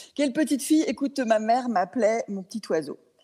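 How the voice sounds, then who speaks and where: A woman talks at a moderate pace. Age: 60s. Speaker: equine coach. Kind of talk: interview. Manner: hesitant, many fillers.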